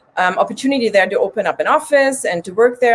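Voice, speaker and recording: A woman with a slight German accent amid noticeable background noise. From Germany. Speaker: recovery coach and podcaster. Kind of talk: interview testimony.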